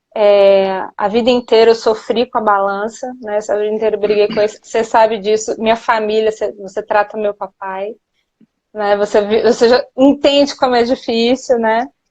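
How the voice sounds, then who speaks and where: A woman's fairly high, monotone, flat voice in a São Paulo accent. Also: moderate pace. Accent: São Paulo (paulista). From Minas Gerais, Brazil. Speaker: nutritionist. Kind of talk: live interview. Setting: Instagram live.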